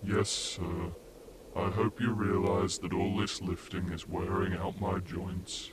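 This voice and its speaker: A man puts on a cartoonish character voice with a very deep, low pitch, speaking at a fairly slow pace. Loud background noise runs underneath. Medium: puppet.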